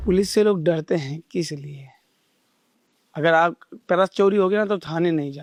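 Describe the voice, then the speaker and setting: Pausing long and often, a man with a high pitch speaks at a moderate pace in a passionate tone, with ordinary pitch variation. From Delhi, India. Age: 30s. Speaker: ice shop owner. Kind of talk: interview answer. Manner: passionate, forceful.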